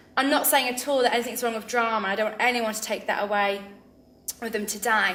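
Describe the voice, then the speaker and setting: A woman with a fairly high voice speaks in a room with audible echo. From England, Northamptonshire (Kettering) and Lincoln. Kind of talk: interview testimony. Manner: hesitant with frequent fillers.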